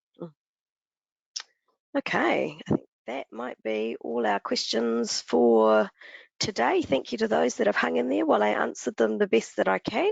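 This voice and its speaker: Long, frequent pauses break up the speech of a woman with a New Zealand accent. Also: moderate pace. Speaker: brand manager presenting to business partners. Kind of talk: webinar Q&A wrap-up. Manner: casual with many filler ums.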